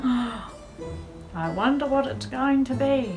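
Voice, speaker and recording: The speaker has a warm tone and an Australian accent, moving at a very slow pace. Music plays in the background. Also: woman. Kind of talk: children's story reading. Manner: warm, expressive.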